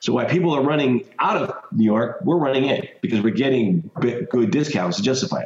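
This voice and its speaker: Speaking at a fairly quick pace with hardly any pauses, a man with an American accent and a medium pitch makes very wide pitch swings over noticeable background noise. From Colorado, US. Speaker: mortgage note investor. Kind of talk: interview.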